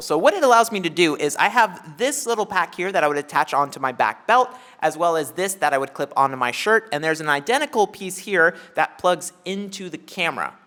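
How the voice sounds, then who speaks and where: With lively intonation and hardly any pauses, a man talks at a fairly quick pace in a high voice. Noticeable background noise is present. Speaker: video tutorial host. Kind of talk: tutorial.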